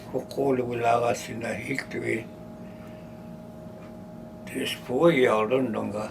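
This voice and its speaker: A man talks fairly slowly, his pitch swinging very widely. Long, frequent pauses break up his speech against noticeable background noise. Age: old. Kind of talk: interview answer. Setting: office. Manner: casual, conversational.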